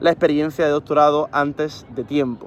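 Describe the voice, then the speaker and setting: A man's fairly high voice runs at a fairly quick clip. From Spain, Granada (Andalusia). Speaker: engineer and education youtuber. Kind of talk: casual vlog monologue. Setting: outdoors on a rooftop. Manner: halting, many fillers.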